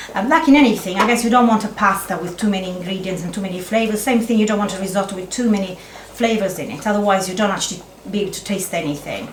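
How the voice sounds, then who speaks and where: A woman at a very fast pace, fairly high in pitch with ordinary pitch variation, amid noticeable background noise and audible room echo. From Italy. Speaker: chef. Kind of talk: cooking demonstration. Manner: halting.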